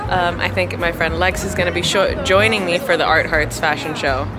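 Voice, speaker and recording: With music in the background, a woman speaks at a fairly quick pace. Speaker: fashion vlogger. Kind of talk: casual vlog chat. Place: street. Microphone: phone near.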